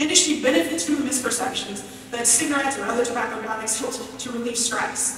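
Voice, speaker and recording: A woman speaks at a fairly quick pace in a high pitch, with strong room echo and light background noise. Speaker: public health professor and researcher. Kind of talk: prepared speech. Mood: earnest, encouraging. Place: hall.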